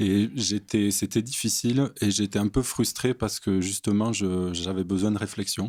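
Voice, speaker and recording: At a fairly slow pace, a man speaks with fairly low pitch, fairly even intonation and very even loudness. The recording is very clean, with a silent background and a dry, close sound with no echo. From southern France, near Montpellier. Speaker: theology student. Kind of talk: podcast interview.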